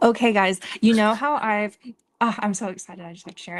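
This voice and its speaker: A woman talks at a medium pitch with fairly even intonation over a quiet background. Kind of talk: casual chat. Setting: livestream. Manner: flat.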